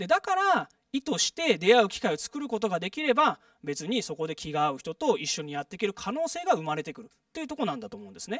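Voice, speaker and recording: Against a quiet background, a man talks at a very fast pace in an extremely high voice, with very wide pitch swings, big swings in loudness and a dry sound with no echo. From Japan, Saitama. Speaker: public lecturer, former residents' association official; guest lecturer. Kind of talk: lecture. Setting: stage with audience. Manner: frequent filler words. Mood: friendly, smiling. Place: hall. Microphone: handheld.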